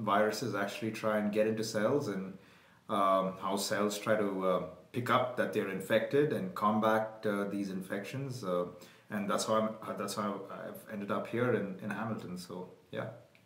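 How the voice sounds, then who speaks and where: There is audible room echo as a man with a fairly low pitch talks at a moderate pace with fairly even intonation. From India, Bangalore. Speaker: virologist. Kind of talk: casual interview. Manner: hesitant, many fillers.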